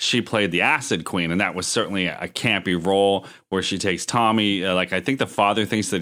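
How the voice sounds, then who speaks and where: Speaking at a fairly quick pace with an American accent, a man has a fairly low pitch and a bright, sharp tone, recorded very cleanly against a silent background. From Erie, Pennsylvania. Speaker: podcast co-host. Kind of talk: casual chat.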